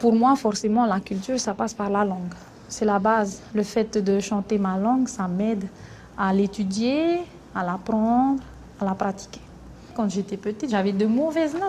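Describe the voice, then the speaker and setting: Taking long, frequent pauses, a woman with a fairly high pitch speaks at a moderate pace with ordinary pitch variation. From French Polynesia (Tahiti). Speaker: singer in a music group. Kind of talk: documentary interview.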